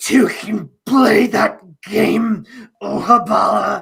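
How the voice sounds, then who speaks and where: Using a put-on character voice, a man talks very slowly at a high pitch. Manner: threatening.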